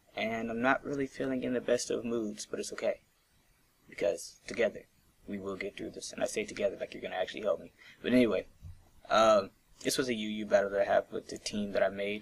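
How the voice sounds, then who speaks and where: The speech races at a very fast pace, with big swings in loudness. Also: man. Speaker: gaming YouTuber. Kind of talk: gameplay commentary. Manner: quieter than usual; less excited than usual.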